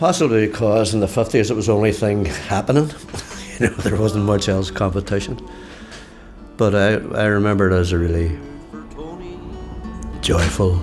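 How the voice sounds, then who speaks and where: Against background music, a man with a Derry accent and a fairly low pitch speaks with very even loudness, ordinary pitch variation, and long, frequent pauses. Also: moderate pace. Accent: Northern Irish (Derry). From Derry, Northern Ireland. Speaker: musician, songwriter, community worker and storyteller. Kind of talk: interview answer. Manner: laid back, quietly sage.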